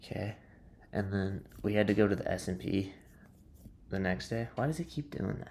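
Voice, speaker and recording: Long, frequent pauses break up a man's quiet speech, pitched fairly low. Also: ordinary pitch variation, moderate pace. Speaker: day trader vlogger. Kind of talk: casual trading recap. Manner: quiet, subdued.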